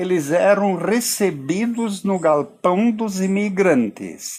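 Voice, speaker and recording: A man's high voice with lively intonation, at a very slow pace. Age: 80s+. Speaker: retired pastor and local historian. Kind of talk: interview. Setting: outdoors by a river.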